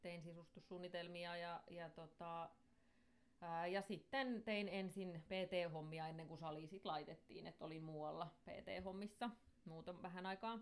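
At a very slow pace, a woman speaks at a fairly low pitch with fairly even intonation. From Finland, Somero (Southwest Finland). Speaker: gym entrepreneur and interior designer. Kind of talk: casual interview chat. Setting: studio.

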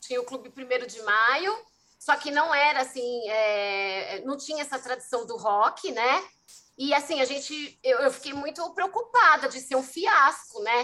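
A woman's raised, projected voice, high-pitched, bright and sharp, with lively intonation, big swings in loudness and a fairly slow pace. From São Paulo city, Brazil. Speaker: festival producer. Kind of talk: casual interview.

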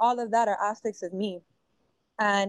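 Flat and monotone, a woman speaks at a medium pitch and a moderate pace with an American accent. The sound is dry and close, without echo. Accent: Miami Cuban American English. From Miami, US. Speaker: musician and visual artist, activist, actress.

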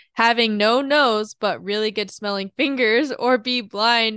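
With a quiet background and a dry, close sound free of echo, a woman speaks at a moderate pace. Her voice is fairly high, bright and sharp, with ordinary pitch variation. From South Korea. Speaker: podcast co-host. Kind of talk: casual chat.

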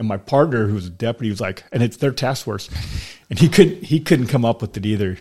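A man with an American accent talks at a very fast pace in a medium pitch, sounding somewhat breathy. His intonation is lively, and the recording is very clean with a silent background. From US West Coast (Sacramento, California). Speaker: retired highway patrol officer. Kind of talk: casual chat. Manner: halting, many repetitions.

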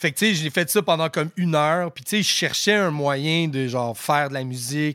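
A man speaks in a fairly high pitch with a bright, sharp tone and ordinary pitch variation. He hardly pauses. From Quebec, Outaouais and Rosemère. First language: English (speaking French). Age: 30s. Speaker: rapper. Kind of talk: casual chat.

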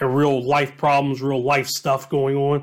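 A man with an American accent speaks at a fairly slow pace. His pitch is fairly high. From Southwest Ohio, Dayton. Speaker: podcast host, high school football coach. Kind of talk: casual monologue. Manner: hesitant, many fillers and repetitions.

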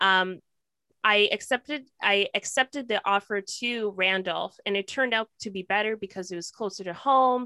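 Someone with a Canadian accent speaks at a moderate pace in a bright, sharp tone with ordinary pitch variation, on a very clean recording with a silent background and a dry, close sound with no echo. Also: woman. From Ontario, Canada (Kingston, then Toronto). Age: 20s. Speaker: podcast co-host, performer. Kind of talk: casual chat.

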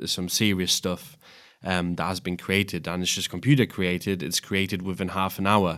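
The recording is very clean, with a silent background. A man talks in a very deep, low voice with fairly even intonation. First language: not English. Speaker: podcast host. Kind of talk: casual chat.

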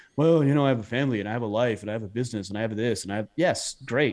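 A man with an American accent speaks very fast at a medium pitch. His pitch varies in an ordinary way over a quiet background. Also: hardly any pauses. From southern Utah. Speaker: podcast host on manhood, hunter. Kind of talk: interview conversation.

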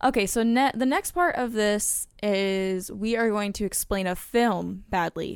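A woman in a plain, everyday voice speaks at a medium pitch and a fairly slow pace, with ordinary pitch variation. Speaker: podcast co-host. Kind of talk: casual chat, word game. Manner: playful, laughs often.

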